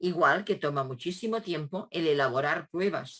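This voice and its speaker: A woman's voice with a fairly low pitch and ordinary pitch variation. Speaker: education professor. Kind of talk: lecture. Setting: video call. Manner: hesitant, with filler sounds.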